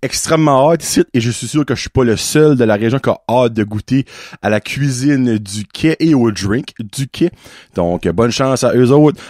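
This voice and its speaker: A man with an Acadian accent speaks at a moderate pace and medium pitch, with ordinary pitch variation. The recording is very clean with a silent background, its sound dry and close with no echo. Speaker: podcast host. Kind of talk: casual podcast conversation.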